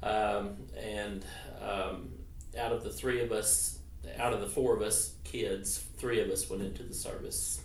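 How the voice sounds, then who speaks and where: Fairly slow speech from a man with an Arkansas accent, with noticeable background noise and audible room echo. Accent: Southern US (Arkansas). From Arkansas (Clinton). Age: 50s. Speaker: interviewee, veteran's son. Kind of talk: oral history interview. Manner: hesitant, many fillers.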